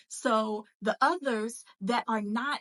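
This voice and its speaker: A woman speaks with a bright, sharp tone at a fairly high pitch and ordinary pitch variation, the sound dry and close with no echo. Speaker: faith-based entrepreneur coach and podcast host. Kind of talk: motivational podcast monologue. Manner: casual, conversational with fillers.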